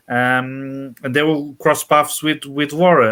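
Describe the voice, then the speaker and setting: Recorded very cleanly over a silent background, a man with a Portuguese accent talks at a moderate pace. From Portugal. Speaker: author. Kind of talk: interview. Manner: halting, many fillers.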